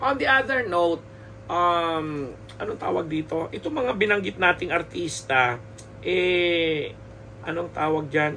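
High-pitched male speech at a fairly slow pace, with lively intonation and light background noise. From Philippines. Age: 50s. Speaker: showbiz columnist and podcaster; podcaster. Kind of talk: solo podcast commentary. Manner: halting with many fillers and repetitions. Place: home room. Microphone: studio mic.

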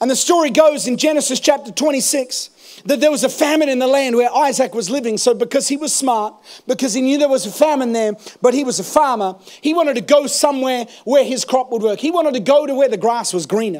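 Shouting at a fairly quick pace, a man speaks in an extremely high pitch with an animated tone and ordinary pitch variation against a quiet background. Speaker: preacher. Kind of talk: sermon. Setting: church. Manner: animated, rousing call-and-response delivery, urging the congregation to shout praise; fervent, building in intensity. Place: church. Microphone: handheld.

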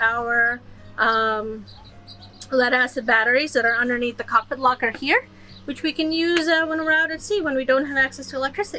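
A woman's raised, projected voice at a moderate pace, with ordinary pitch variation and faint music in the background. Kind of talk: casual vlog tour. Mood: excited, upbeat. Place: boat. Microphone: camera far.

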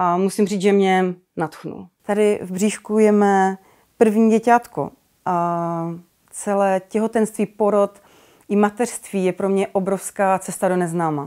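A woman's dark, mellow voice at a fairly slow pace, with fairly even intonation over a quiet background. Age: 30s. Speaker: expectant mother giving a course testimonial. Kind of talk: testimonial. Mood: warm, calm, reflective. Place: home room.

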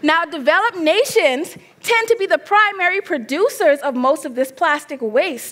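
An animated woman talks at a moderate pace, her extremely high voice making very wide pitch swings. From Bahamas. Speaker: graduate student; presenter. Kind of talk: competition presentation. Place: stage. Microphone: headset.

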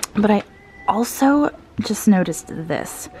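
A woman's voice with ordinary pitch variation, in a dry recording without echo. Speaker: vintage reseller vlogger. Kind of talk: casual vlog chat. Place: shop. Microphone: phone near.

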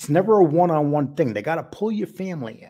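The tone is dark and mellow, the intonation lively, and the pace fairly quick. The background is quiet. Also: man. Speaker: online show host. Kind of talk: commentary. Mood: earnest, defensive, somber. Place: home room. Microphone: studio mic.

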